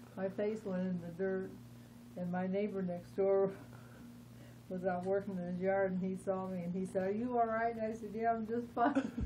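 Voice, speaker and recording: A woman speaks with a somewhat breathy voice and ordinary pitch variation. Her voice carries audible room echo. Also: medium pitch for a woman, moderate pace. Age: 70s. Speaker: interviewee with Parkinson's disease. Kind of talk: interview. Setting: at her home.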